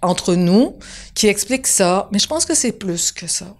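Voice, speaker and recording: A woman with a Quebec accent speaks with lively intonation. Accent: Quebec French, deliberately kept. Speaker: TV showrunner and screenwriter. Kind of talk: interview. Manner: conversational, animated.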